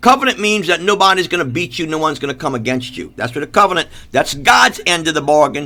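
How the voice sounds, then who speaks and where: A loud man talks at a very fast pace with a bright, sharp tone and lively intonation. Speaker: preacher. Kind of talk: sermon. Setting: live stream.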